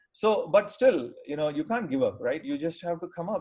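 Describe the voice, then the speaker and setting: At a moderate pace, a man speaks with a South Indian accent. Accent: South Indian (Tamil) English. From Tamil Nadu, India (small town). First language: Tamil. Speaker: engineer and IT professional. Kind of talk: career talk. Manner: hesitant, many fillers.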